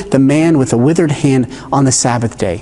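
A man is speaking. His tone is enthusiastic. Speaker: pastor. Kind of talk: sermon. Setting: church. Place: church.

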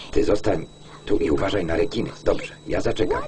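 A man talks fairly slowly while noticeable background noise runs underneath. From Poland. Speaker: film voice-over reader. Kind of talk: film voice-over lektor reading.

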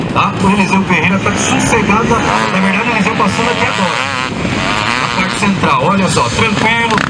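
A man's fairly quick speech against loud background noise. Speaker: race commentator. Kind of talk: sports commentary. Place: stadium.

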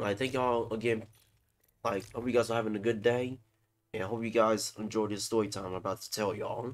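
At a very fast pace, a man speaks with monotone, flat intonation. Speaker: storytime vlogger. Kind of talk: casual storytelling. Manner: halting, repetitive. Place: home room.

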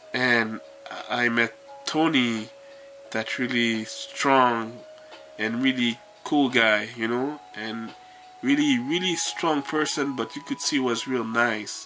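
A man at a very slow pace, with long, frequent pauses, ordinary pitch variation, and faint music in the background. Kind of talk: casual vlog chat. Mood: warm, grateful reminiscing. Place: home room. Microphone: phone near.

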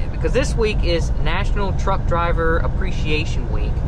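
The sound is dry with no echo, and loud background noise runs underneath. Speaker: truck driver vlogger. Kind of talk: casual vlog chat. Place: car. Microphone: phone near.

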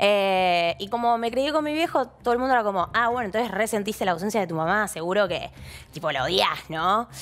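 A woman speaks at a fairly quick pace with lively intonation. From Argentina. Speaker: TV presenter. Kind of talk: talk show interview. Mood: candid, reflective about family. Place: studio. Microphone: headset.

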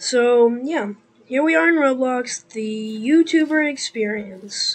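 With music in the background, a woman speaks at a fairly high pitch and ordinary pitch variation. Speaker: gaming YouTuber. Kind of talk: gameplay commentary. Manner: hesitant, many fillers.

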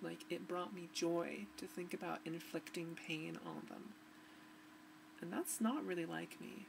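A woman speaks at a fairly slow pace. There is noticeable background noise behind her. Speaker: vlogger. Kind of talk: personal video diary. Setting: home recording to webcam. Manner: halting. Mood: emotional, reflective, somewhat subdued. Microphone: webcam.

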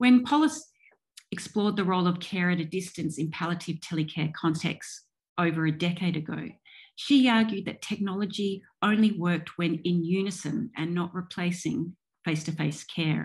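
A woman with an Australian accent talks at a moderate pace, her voice fairly low and somewhat breathy. Her pitch varies in an ordinary way against a quiet background. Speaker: professor and digital ethnographer. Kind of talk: keynote lecture. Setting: video call. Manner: formal.

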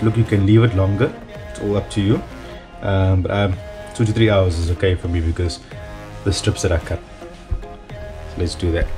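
Over clear music in the background, a man speaks at a moderate pace. His pitch is fairly low, with ordinary pitch variation. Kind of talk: tutorial. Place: kitchen. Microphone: phone near.

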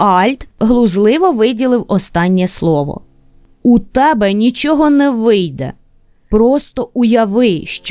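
The unforced reading voice carries lively intonation.

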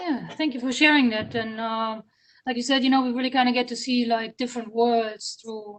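At a moderate pace, a woman with a German accent speaks at a high pitch with fairly even intonation. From Germany. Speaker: librarian. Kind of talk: interview.

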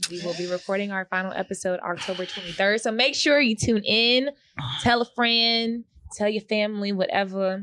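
Ordinary pitch variation from a woman, delivered at a moderate pace. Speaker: podcast co-host. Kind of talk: casual chat. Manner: animated. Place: studio. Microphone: studio mic.

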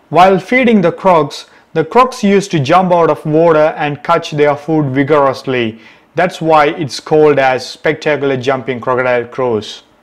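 At a moderate pace, a man speaks with lively intonation over a quiet background. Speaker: travel vlogger. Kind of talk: casual vlog intro. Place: open country. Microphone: camera far.

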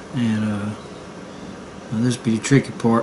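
A man speaks in a relaxed tone with a Southern US accent, his intonation flat and monotone. Noticeable background noise sits behind him. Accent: Southern US twang. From Southern United States. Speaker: amateur artist. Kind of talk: casual drawing tutorial narration. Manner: relaxed, rambling.

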